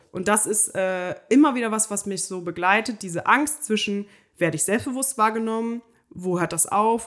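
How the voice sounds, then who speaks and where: A woman's plain, everyday voice, with lively intonation at a moderate pace. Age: 20s. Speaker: podcast co-host. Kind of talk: casual chat.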